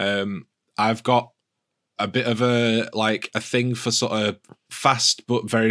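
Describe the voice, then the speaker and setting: With a British accent, the speaker uses a bright, sharp tone at a fairly slow pace. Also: man. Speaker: podcast host. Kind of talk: casual chat. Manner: jokey.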